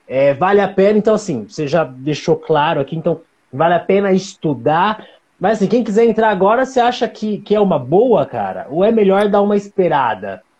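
A high-pitched man speaks with lively intonation at a moderate pace. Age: 40s. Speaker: live-stream host, creative community organizer. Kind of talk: casual live-stream interview. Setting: online live stream.

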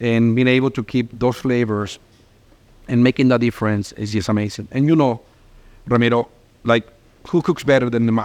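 A man in a Spanish accent talks at a medium pitch with fairly even intonation. His speech has long, frequent pauses. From Mexico, small town. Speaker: restaurant owner. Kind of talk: interview. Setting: on location in restaurant.

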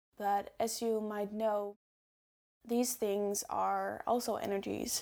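This very clean recording, with a silent background, captures a woman talking at a medium pitch. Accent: Dutch. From Netherlands. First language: Dutch. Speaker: podcast host. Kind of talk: solo podcast talk.

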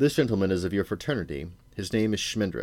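A man puts on a character voice, low in pitch with a slightly mellow tone. He talks fast, with big pitch swings.

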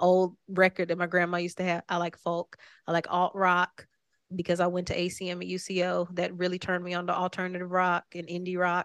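A woman with an American accent speaks at a fairly quick pace in a fairly low, monotone, flat voice, with a dry, close sound with no echo and a quiet background. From Oklahoma, Tulsa. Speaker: singer-songwriter. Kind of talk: casual interview. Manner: laughs often.

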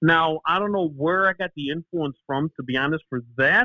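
Someone with a Chicago accent speaks at a moderate pace with ordinary pitch variation. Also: man. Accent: Chicago American. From Chicago, US. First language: Greek. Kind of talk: casual interview chat. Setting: phone call.

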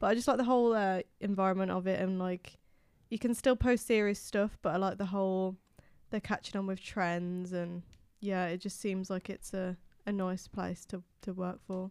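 In a very clean recording with a silent background, a woman with a plain, everyday voice talks at a moderate pace with fairly even intonation. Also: medium pitch for a woman. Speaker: journalism student co-host. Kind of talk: casual discussion.

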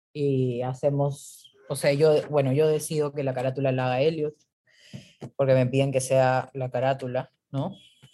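A woman's very deep, low voice with a dark, mellow tone, monotone, flat intonation and a fairly slow pace. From Peru. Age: 30s. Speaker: creative entrepreneur. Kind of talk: casual chat.

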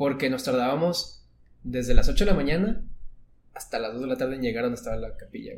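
A man talks at a very fast pace, with big swings in loudness. Audible room echo is present. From northern Mexico. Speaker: architecture student. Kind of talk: casual chat.

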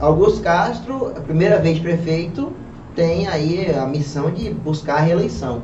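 The pace is fairly slow. Noticeable background noise and audible room echo run through the clip. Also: man. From Pernambuco, Brazil. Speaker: podcast host. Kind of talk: talk show interview.

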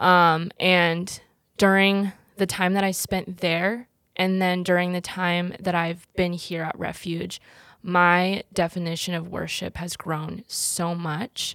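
The speech comes at a very slow pace with an American accent. Its intonation is monotone and flat. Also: woman, fairly low pitch for a woman, very clean recording, silent background. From United States, Korean American community. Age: 20s. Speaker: churchgoer sharing faith testimony. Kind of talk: testimony in casual chat.

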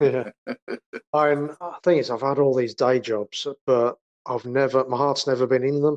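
Moderate pace with long, frequent pauses, an English Midlands accent, fairly even intonation, and a dry, close sound with no echo. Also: man, medium pitch for a man. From English Midlands, near Birmingham. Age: 40s. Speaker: rapper and graphic artist. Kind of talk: casual interview. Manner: halting.

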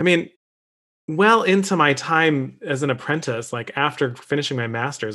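Speaking with an American accent, a man has a plain, everyday voice, fairly high in pitch, with lively intonation. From Michigan (Detroit area). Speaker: opera singer. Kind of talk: casual discussion.

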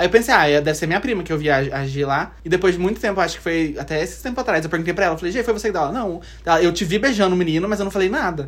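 Over noticeable background noise, the speaker races along at a very fast pace with hardly any pauses. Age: 20s. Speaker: podcast guest. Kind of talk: casual chat.

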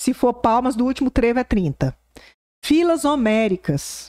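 A woman's fairly slow speech with very wide pitch swings, in a dry, close sound with no echo on a very clean recording with a silent background. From Brazil, southwest Goiás. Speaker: political journalist. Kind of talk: casual interview.

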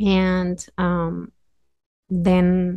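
A woman's fairly low-pitched voice with a Mexican accent. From Mexico City area, Mexico. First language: Spanish. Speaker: community health worker. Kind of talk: casual interview. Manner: frequent laughter, hesitant fillers.

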